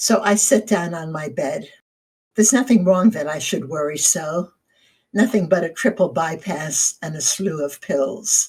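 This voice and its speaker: This woman speaks at a fairly slow pace in a medium pitch, her intonation lively and her voice somewhat breathy. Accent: American. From New Jersey, US. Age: 70s. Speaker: retired lawyer, essay writer. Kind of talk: autobiographical narration; reading aloud a personal essay.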